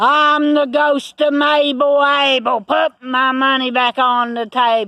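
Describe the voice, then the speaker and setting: Loud and high-pitched, a put-on character voice delivers its lines at a fairly slow pace. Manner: scary, loud.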